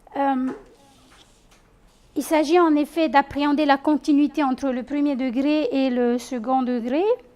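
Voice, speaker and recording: With a Tahitian accent, a high-pitched woman speaks at a fairly slow pace, using fairly even intonation and long, frequent pauses. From French Polynesia, Tahiti east coast (Tautira). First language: Tahitian (speaking French). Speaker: teacher trainer and doctoral researcher. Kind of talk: conference presentation. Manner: halting, many hesitations.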